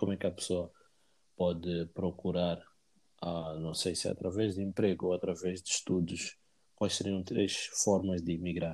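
A man talks at a moderate pace. His very deep voice stays flat and monotone. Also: very clean recording, silent background. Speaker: podcast host. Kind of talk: casual interview. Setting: call.

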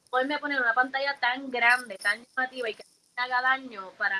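A high-pitched woman speaks with lively intonation. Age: 30s. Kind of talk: interview. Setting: live stream.

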